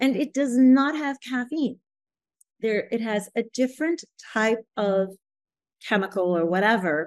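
Someone speaks at a fairly slow pace with lively intonation and long, frequent pauses, the sound dry and close with no echo against a quiet background. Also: woman, fairly high pitch for a woman. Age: 60s. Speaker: yoga therapist and author. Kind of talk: interview.

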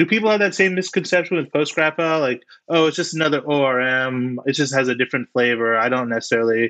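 A man with an unremarkable speaking voice talks at a fairly quick pace and medium pitch. His intonation is lively, and the background is quiet. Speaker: podcast co-host. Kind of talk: casual interview chat.

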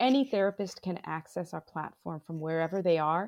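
An ordinary speaking voice from a woman with an American accent, at a moderate pace with ordinary pitch variation, in a dry, close sound with no echo and a quiet background. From Bangladesh and US. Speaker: digital health executive. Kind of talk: interview.

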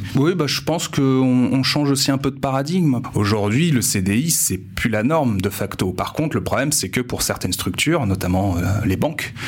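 Against noticeable background noise, a man speaks at a moderate pace with medium pitch, lively intonation and very even loudness. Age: 20s. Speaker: university staff in student mobility. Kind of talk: interview. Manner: hesitant.

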